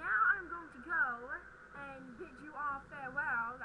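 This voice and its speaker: Over loud background noise, a woman uses a high-pitched, put-on character voice at a moderate pace. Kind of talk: archaic, theatrical. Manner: theatrical, grandiose.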